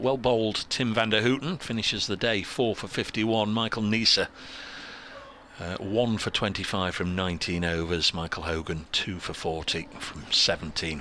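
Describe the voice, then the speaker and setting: A man uses a croaky, put-on character voice at a fairly low pitch. His pace is moderate, with light background noise. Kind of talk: cricket commentary.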